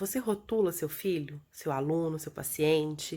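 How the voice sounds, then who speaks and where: A soft-spoken woman is heard on a very clean recording with a silent background. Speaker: educational video host. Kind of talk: vlog talk to viewers. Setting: recorded from bed at home. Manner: soft, low.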